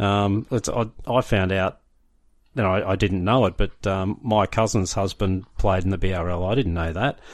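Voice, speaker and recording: A man with an Australian accent, fairly low in pitch, fairly even in intonation, at a moderate pace over a quiet background. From Brisbane, Australia. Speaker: rugby league history podcaster. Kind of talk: casual interview.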